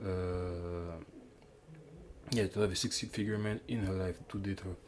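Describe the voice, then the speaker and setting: Speaking at a fairly slow pace, a man talks with a Quebec accent. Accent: French Canadian accent in English. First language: French. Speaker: YouTuber commentator. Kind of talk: casual commentary monologue. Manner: halting, many false starts and fillers.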